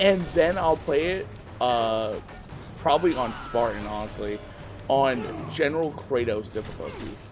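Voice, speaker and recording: A man speaks fairly slowly at a medium pitch, with lively intonation and long, frequent pauses. Room echo is audible, and there is noticeable background noise. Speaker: gaming youtuber. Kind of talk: casual gameplay commentary. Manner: halting.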